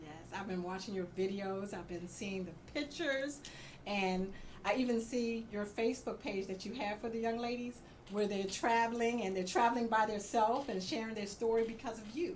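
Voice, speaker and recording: A woman with a fairly high, somewhat breathy voice speaks at a fairly quick pace with ordinary pitch variation, and audible room echo surrounds her. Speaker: radio talk show host. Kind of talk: casual interview. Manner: fast.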